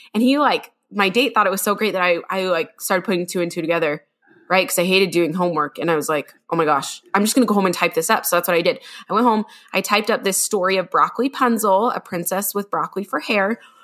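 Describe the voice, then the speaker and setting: A woman with an American accent speaks very fast at a medium pitch with ordinary pitch variation. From Utah. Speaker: children's author and podcast co-host. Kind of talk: casual chat.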